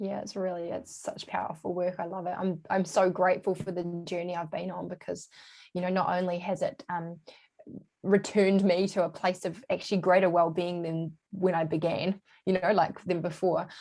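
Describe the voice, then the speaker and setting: This woman talks at a moderate pace with a New Zealand accent and a fairly low pitch. Her tone is dark and mellow, and her intonation is monotone and flat. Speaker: holistic health coach. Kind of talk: casual interview chat.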